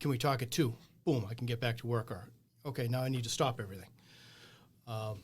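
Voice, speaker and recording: A man's medium-pitched, somewhat breathy voice at a very fast pace, with an American accent and fairly even intonation. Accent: Boston accent, comes out at times. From Boston area, New England. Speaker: small business owner. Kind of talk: casual interview conversation.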